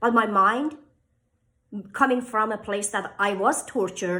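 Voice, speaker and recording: A woman's fairly high, bright and sharp voice in a Persian accent, with ordinary pitch variation. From Iran. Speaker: author and inspirational speaker. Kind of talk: motivational talk to camera.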